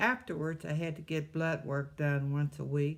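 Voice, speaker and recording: A woman with a Midwestern accent and a very deep, low pitch at a fairly slow pace, on a very clean recording with a silent background. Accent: US Midwest (Ohio). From Ohio, Cleveland. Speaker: cancer survivor, retired postmaster. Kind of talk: testimony.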